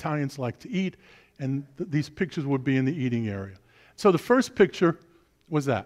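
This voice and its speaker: The voice swings very widely in pitch against a quiet background. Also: man. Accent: New York. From Brooklyn, New York. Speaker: preacher. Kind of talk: sermon.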